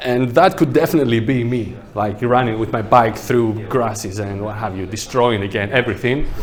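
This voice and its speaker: A man with a non-native accent talks at a moderate pace with hardly any pauses, his medium pitch showing ordinary variation. Noticeable background noise and audible room echo fill the recording. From Greece. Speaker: landscape architect. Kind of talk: workshop presentation. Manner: casual, conversational.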